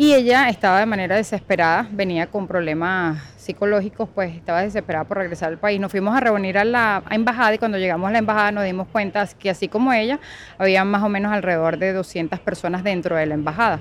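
A woman talks at a very fast pace with hardly any pauses. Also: medium pitch for a woman, ordinary pitch variation. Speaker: church volunteer. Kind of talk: interview testimony.

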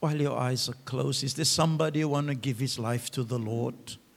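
Somewhat breathy, a man with a medium pitch speaks at a moderate pace with fairly even intonation. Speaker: pastor. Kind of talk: sermon. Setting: church.

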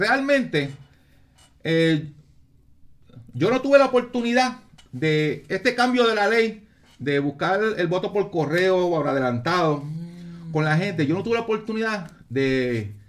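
Pausing long and often, a man speaks at a fairly slow pace with a high pitch that swings very widely. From Puerto Rico, San Juan. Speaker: retired police officer and politician. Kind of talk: casual interview.

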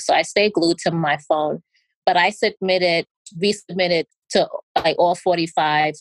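The speech comes at a moderate pace in an American accent. The sound is dry and close, with no echo. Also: woman. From US Northeast, New York. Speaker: physician. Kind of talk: interview.

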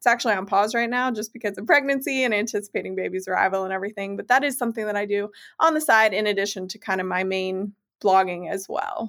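A woman speaks at a very fast pace with ordinary pitch variation. The recording is very clean, with a silent background. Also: medium pitch for a woman. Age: 20s. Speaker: nutritionist and food blogger. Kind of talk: casual interview chat.

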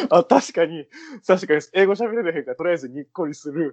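A man speaks at a fairly quick pace in a high pitch, with ordinary pitch variation. The sound is dry and close, without echo. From Kansai, Japan. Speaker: radio host. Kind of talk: casual chat. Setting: studio.

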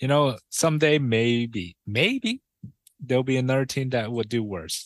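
Over a quiet background, a man speaks at a fairly slow pace in a dry, close sound with no echo. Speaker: co-host. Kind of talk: casual sports podcast.

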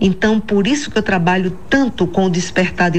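Over noticeable background noise and audible room echo, a woman talks at a moderate pace in a medium pitch. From Bahia, Brazil (Itapeipu, near Jacobina). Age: 60s. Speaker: executive coach and author. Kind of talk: radio interview.

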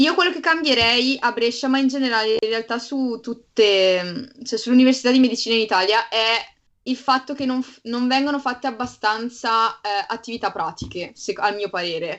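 Fairly high in pitch, a woman with an ordinary speaking voice keeps a moderate tempo and lets her pitch vary by an ordinary amount. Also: quiet background. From Bergamo, northern Italy. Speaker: medical student. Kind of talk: casual chat.

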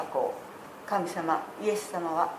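Noticeable background noise sits under the voice, along with audible room echo. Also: woman. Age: 70s. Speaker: church member giving testimony. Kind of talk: testimony. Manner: formal.

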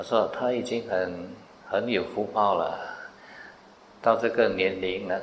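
At a very slow pace, the speaker talks with monotone, flat intonation amid audible room echo. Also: man. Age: 60s. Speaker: Buddhist monk teacher. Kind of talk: dharma Q&A talk.

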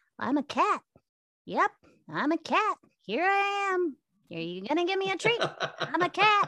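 An extremely high-pitched, put-on character voice speaks at a moderate pace. Long pauses come often. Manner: silly, cutesy.

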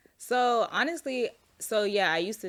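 A woman talks at a moderate pace in an ordinary speaking voice, her pitch varying in an ordinary way, on a very clean recording with a silent background. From Florida (Orlando, then small-town Georgia). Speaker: plant shop owner, entrepreneur. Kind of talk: casual interview chat.

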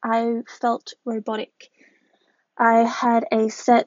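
A woman speaks with an Australian accent. Her pitch is high. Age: 20s. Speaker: podcast host and model. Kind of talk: personal monologue.

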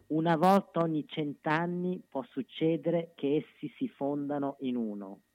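At a fairly slow pace with hardly any pauses, a man speaks fairly high in pitch with lively intonation. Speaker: commentator and poetry reader. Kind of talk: reading aloud.

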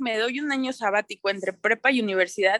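A woman talks at a fairly quick clip in a fairly high voice with ordinary pitch variation. Her tone is bright and sharp, the sound dry and close with no echo. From Mexico, Toluca. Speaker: sustainability consultant, fashion designer. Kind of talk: interview, casual chat.

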